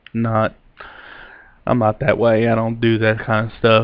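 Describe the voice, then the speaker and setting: A man talks with a Kentucky accent at a medium pitch. His pace is moderate. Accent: Southern US, Kentucky. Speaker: vlogger, amateur ghost hunter. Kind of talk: casual vlog talk to camera.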